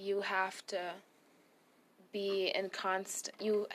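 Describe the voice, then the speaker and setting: Against a quiet background, a woman talks with a German accent. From Germany. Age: young. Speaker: Bible college graduate. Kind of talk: testimony.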